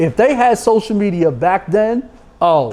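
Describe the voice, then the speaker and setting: A man's high voice in a New York accent with lively intonation at a moderate pace, against noticeable background noise. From New York City. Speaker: sports agent. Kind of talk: podcast interview.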